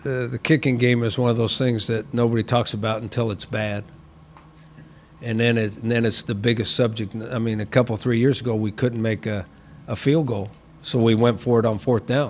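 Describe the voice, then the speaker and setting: A man of medium pitch at a fairly quick pace with fairly even intonation. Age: 60s. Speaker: football head coach. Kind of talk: press conference. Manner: halting, repeats words.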